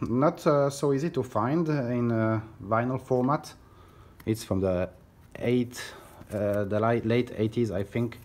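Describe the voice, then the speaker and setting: Fairly slow speech broken by long, frequent pauses, with ordinary pitch variation. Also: man, medium pitch for a man. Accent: French. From France. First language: French. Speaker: record collector. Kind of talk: casual vlog. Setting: hotel room. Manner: halting, many fillers.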